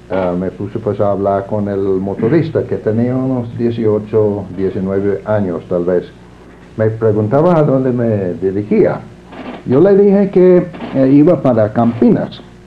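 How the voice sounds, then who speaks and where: Over noticeable background noise, a man with an English accent speaks at a fairly low pitch with lively intonation. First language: English (speaking Spanish). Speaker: librarianship scholar. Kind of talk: interview. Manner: halting, many fillers.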